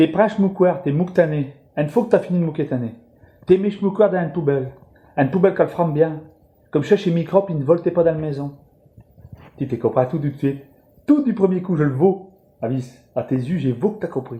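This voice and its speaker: The voice has a dark, mellow tone and ordinary pitch variation, in a northern French accent. It moves at a fairly quick pace, broken by long, frequent pauses. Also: man, high pitch for a man. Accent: Ch'ti (Picard) dialect. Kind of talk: humorous monologue to camera. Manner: casual, jokey.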